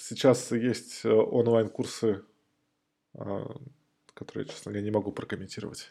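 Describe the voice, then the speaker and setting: With vocal fry and a dark, mellow tone, a man speaks fairly slowly at a medium pitch and with fairly even intonation. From Moscow, Russia. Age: 40s. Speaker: IT specialist. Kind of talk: casual interview.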